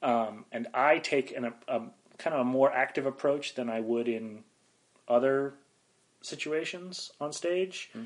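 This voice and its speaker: A man with an American accent speaks at a fairly slow pace in a plain, everyday voice, his pitch varying in an ordinary way. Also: medium pitch for a man. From northeastern Pennsylvania (Wilkes-Barre area). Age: 30s. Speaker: improv comedian and teacher. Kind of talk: interview conversation.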